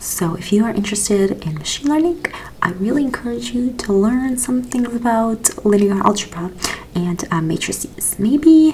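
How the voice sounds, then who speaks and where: The speaker is soft-spoken, with a gentle tone and a moderate pace. Noticeable background noise runs underneath. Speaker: ASMR educator. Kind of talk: ASMR educational explanation of a research paper. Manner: soft-spoken, gentle.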